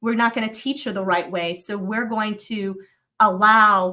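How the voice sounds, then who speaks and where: A woman's medium-pitched, bright and sharp voice in a General American accent, with fairly even intonation at a moderate pace. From US Southwest, Flagstaff, Arizona. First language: Vietnamese. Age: 40s. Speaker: life coach and speaker. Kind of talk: interview. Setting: livestream.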